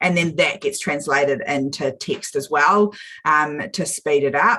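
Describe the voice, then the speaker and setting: The speaker has a bright, sharp tone and lively intonation in a New Zealand accent. The pace is moderate. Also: woman. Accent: Kiwi. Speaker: small business coach. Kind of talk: live video chat.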